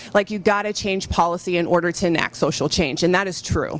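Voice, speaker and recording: This is an ordinary speaking voice with an American accent. It moves at a fairly quick pace with ordinary pitch variation. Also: woman. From Michigan. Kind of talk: panel discussion.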